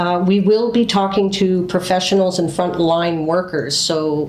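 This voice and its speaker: Audible room echo and noticeable background noise surround a woman speaking at a moderate pace with fairly even intonation. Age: 60s. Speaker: podcast host and memoir author. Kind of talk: podcast monologue.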